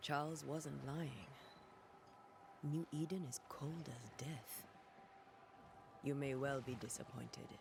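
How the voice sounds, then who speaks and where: A man uses a put-on character voice at a fairly high pitch, moving at a fairly slow pace with long, frequent pauses over clear background noise. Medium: video game. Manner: calm, serious.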